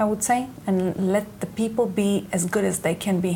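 A woman with an Israeli accent speaks at a moderate pace and a medium pitch. Her intonation is fairly even, over noticeable background noise. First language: Hebrew. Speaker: company executive. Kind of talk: interview.

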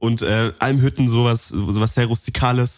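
A man with an ordinary speaking voice speaks at medium pitch with fairly even intonation on a very clean recording with a silent background. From Allgäu, Bavaria. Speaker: podcast co-host. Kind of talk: casual chat. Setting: studio.

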